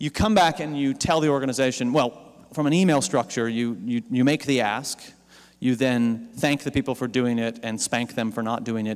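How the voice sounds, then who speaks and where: A man with an ordinary speaking voice and an American accent, at medium pitch and a moderate pace, with ordinary pitch variation. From Pennsylvania farm country, US. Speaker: digital campaign strategist, keynote speaker. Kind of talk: conference keynote talk. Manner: casual, with fillers and repetitions.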